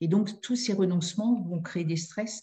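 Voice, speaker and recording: Somewhat breathy and dark, mellow in tone, a woman's voice moves at a moderate speed. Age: 60s. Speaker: family therapist and mediator. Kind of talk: interview. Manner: halting.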